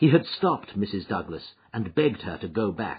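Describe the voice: A man's fairly low voice with a husky, rough edge, big pitch swings and a moderate pace.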